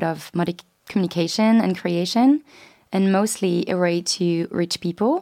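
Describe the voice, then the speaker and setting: A woman's medium-pitched, dark, mellow voice in a French accent, moderate in pace with ordinary pitch variation, on a very clean recording with a silent background. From France. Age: 20s. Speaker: student podcast co-host. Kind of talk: casual chat.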